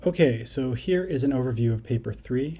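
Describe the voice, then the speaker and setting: A man's dark, mellow, somewhat breathy voice. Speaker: psychology teacher. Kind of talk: lecture. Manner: fast.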